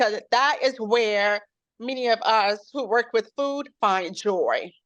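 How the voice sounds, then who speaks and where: A woman with an American accent, a fairly high pitch and ordinary pitch variation, at a very slow pace. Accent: slight hard-of-hearing trace in speech. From Chicago South Side. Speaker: chef and bakery owner. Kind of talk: interview. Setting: video call. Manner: volume poorly regulated, sometimes too loud or soft.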